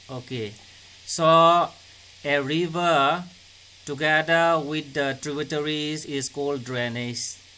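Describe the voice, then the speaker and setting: At a very slow pace, a man with a fairly high pitch speaks in fairly even intonation, with audible room echo. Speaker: school teacher. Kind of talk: online class lecture. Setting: video call.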